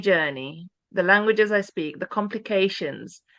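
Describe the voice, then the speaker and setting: A woman with an English accent speaks at a moderate pace in a medium pitch with ordinary pitch variation, her bright, sharp tone heard in a dry, close sound with no echo over a quiet background. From England. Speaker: church pioneer. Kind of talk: conversation. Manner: halting.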